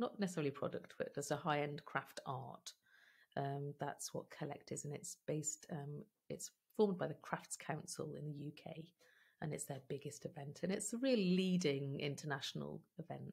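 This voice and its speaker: A woman speaks with vocal fry at a very deep, low pitch and ordinary pitch variation. The background is quiet. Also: moderate pace. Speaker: podcast guest. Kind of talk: interview answer. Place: home room.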